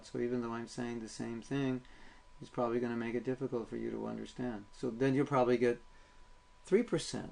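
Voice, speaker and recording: Putting on a robotic character voice, a man talks at a fairly quick pace and a medium pitch. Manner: lifeless, sleep-inducing.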